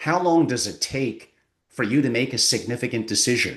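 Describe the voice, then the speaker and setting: A man talks at a moderate pace with ordinary pitch variation in a plain, everyday voice against a quiet background. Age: 60s. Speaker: family office advisor. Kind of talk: interview.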